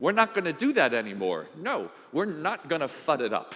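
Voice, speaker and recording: A man with a fairly high pitch and vocal fry speaks at a fairly slow pace in an animated tone, his pitch swinging very widely. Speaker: conference speaker. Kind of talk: conference talk. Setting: stage with audience.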